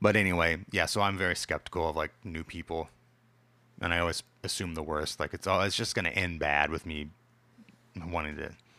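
In a very clean recording with a silent background, a man with a very deep, low pitch and a bright, sharp tone speaks at a fairly quick pace with fairly even intonation, leaving long, frequent pauses. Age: 30s. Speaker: podcast co-host. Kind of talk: casual chat. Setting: home recording.

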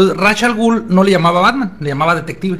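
Noticeable background noise sits behind the speech. A man talks at a very fast pace with lively intonation. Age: 40s. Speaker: psychologist, comics expert. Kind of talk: casual chat. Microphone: poor audio quality.

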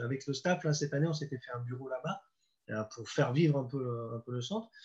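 A man speaks at a fairly quick pace in a medium pitch, with ordinary pitch variation and a somewhat breathy quality. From Normandy, France. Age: 50s. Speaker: football coach. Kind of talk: interview. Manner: halting.

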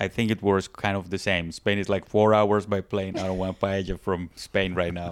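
This speaker has a Spanish accent and a moderate pace. The intonation is monotone and flat, with hardly any pauses. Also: man, very deep, low pitch for a man. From Colombia. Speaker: podcast host. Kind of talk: casual chat. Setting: studio.

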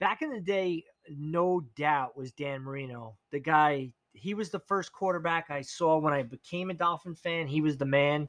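In a normal speaking voice with an American accent, a man talks at a moderate pace and a fairly high pitch with ordinary pitch variation, in a very clean recording with a silent background and a dry, close sound with no echo. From New York, Long Island. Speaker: podcast guest. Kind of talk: casual chat.

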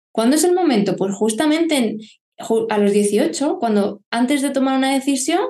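A woman's high, dark and mellow voice with lively intonation at a moderate pace. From Murcia, Spain (Lorca). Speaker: family photographer. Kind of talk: casual chat.

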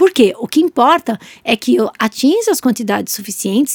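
A woman with a normal speaking voice and lively intonation talks at a moderate pace, in a dry, close sound with no echo on a very clean recording with a silent background. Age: 40s. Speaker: nutritionist and podcast co-host. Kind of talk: casual educational chat.

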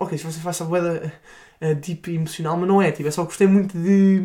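Here a man speaks with a dark, mellow tone. His pitch is high, and his pace is fairly quick. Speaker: film podcast co-host. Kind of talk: casual chat.

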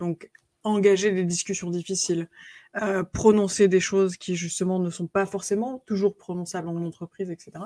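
This woman's dark, mellow voice sits at a medium pitch with fairly even intonation, recorded very cleanly against a silent background in a dry, close space with no echo. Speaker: author and coach. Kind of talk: interview.

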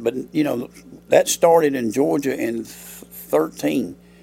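Lively in intonation, a man with a Southern US accent speaks at a medium pitch with a dark, mellow tone. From US South, Alabama. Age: 60s. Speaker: high school football coach. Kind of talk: interview.

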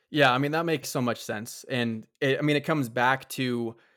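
A man talks at a very fast pace in a medium pitch, his intonation fairly even. The recording is very clean with a silent background. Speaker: podcast host. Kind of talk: interview.

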